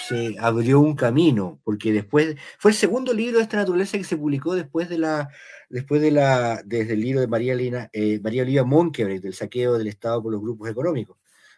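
This man speaks with a Chilean accent. His medium-pitched voice has lively intonation. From Chile, Valparaíso. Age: 50s. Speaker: novelist. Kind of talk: interview.

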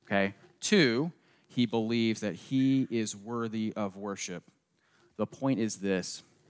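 A man with a slight Southern US accent, leaving long, frequent pauses. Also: medium pitch for a man, ordinary pitch variation. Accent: slight Southern US, people remark on it. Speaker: pastor. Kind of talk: sermon.

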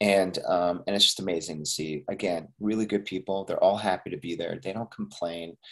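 Speaking at a moderate pace, a man uses a normal speaking voice with fairly low pitch and ordinary pitch variation. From Canada, Montreal. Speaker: actor and filmmaker. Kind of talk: interview.

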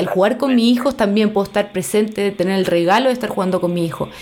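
A woman with a Chilean accent talks at a fairly quick pace with lively intonation over noticeable background noise. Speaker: podcast host, psychologist and art therapist. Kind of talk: casual interview chat.

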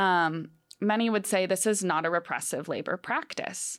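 A woman with an American accent and a plain, everyday voice at medium pitch and moderate pace, in a very clean recording with a silent background. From Wisconsin, Green Bay. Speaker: student journalist. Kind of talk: casual radio discussion.

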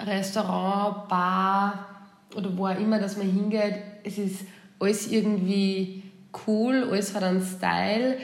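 The delivery is very slow and monotone, with flat intonation. Audible room echo surrounds it. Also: woman. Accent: Austrian. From Austria. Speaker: returned expat. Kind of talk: casual chat. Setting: remote call.

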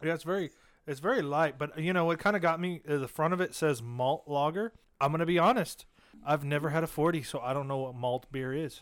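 This man has an ordinary speaking voice with a fairly high pitch. He talks at a fairly quick pace with ordinary pitch variation. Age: young. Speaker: podcast co-host. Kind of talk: casual chat.

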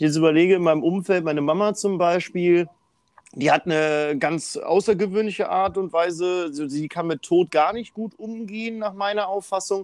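This man has a high-pitched voice. He speaks at a moderate pace. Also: ordinary pitch variation. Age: 20s. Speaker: podcast host. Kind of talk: casual interview.

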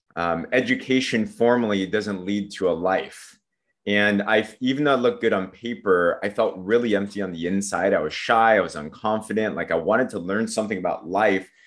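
A man with a Southern Californian accent, at a fairly quick pace and ordinary pitch variation, against a quiet background. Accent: Southern California American. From San Diego, California. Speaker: network marketer. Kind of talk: casual interview chat. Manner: upbeat, motivational.

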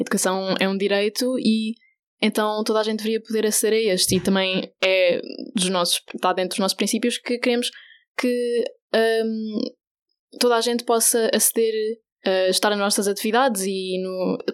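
Using a normal speaking voice, a woman talks at a moderate pace with fairly high pitch, fairly even intonation, and very even loudness, on a very clean recording with a silent background. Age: 20s. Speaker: LGBTI youth association volunteer educator. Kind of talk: radio interview.

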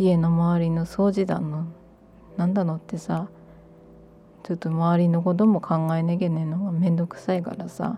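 With a Miyagi accent, a woman talks at a moderate pace in a somewhat breathy, dark, mellow voice with a fairly low pitch and flat, monotone intonation. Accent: Miyagi (Sendai-area Tohoku) dialect. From Miyagi Prefecture, Japan. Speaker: podcaster. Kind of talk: casual monologue. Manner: unscripted, meandering.

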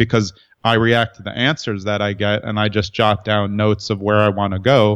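The man's intonation stays monotone and flat throughout. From New York, Brooklyn. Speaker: entrepreneur and writer. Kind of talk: interview conversation.

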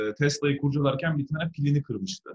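This somewhat breathy man talks at a fairly high pitch. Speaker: electric car entrepreneur. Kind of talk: interview. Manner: animated. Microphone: phone through an analog speaker.

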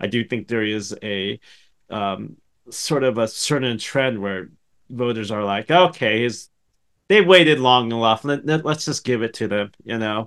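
At a fairly slow pace, a man speaks in an ordinary speaking voice at a medium pitch with ordinary pitch variation against a quiet background. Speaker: podcast co-host. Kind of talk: casual chat.

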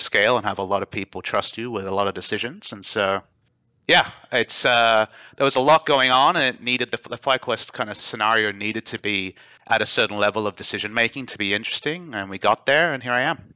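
A man's fairly low-pitched voice with a bright, sharp tone, on a very clean recording against a silent background. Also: dry, close sound with no echo. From Australia. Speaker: esports team executive. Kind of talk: casual chat.

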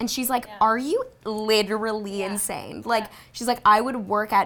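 A normal speaking voice, a woman's, medium in pitch with fairly even intonation. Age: 20s. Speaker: podcast co-host. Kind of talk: casual chat. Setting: studio.

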